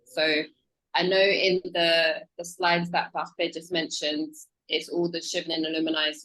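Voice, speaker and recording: Speaking at a moderate pace with a strong British accent, a woman uses a fairly low pitch, a bright, sharp tone and monotone, flat intonation. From UK. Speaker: scholarship program officer. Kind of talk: presentation.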